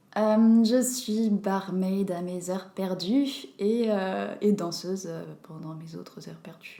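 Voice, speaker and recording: Her dark, mellow voice moving at a very slow pace with ordinary pitch variation and big swings in loudness, a woman speaks amid audible room echo. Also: medium pitch for a woman. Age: 20s. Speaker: bartender and dancer. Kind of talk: casual chat.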